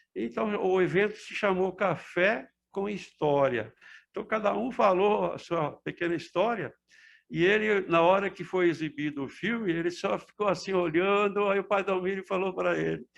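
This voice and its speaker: The background stays quiet. A man talks with a high pitch. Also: ordinary pitch variation, moderate pace. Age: 70s. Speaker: retired amateur film preserver. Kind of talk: interview reminiscence.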